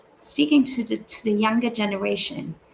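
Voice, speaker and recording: With a non-native accent, this speaker keeps to a moderate pace. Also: woman. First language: not English. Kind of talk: recorded talk. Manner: halting.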